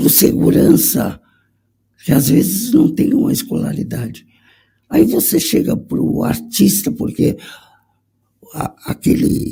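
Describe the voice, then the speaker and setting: Long, frequent pauses break up a man's speech, which moves at a very slow pace. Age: 60s. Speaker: conductor. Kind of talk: panel discussion.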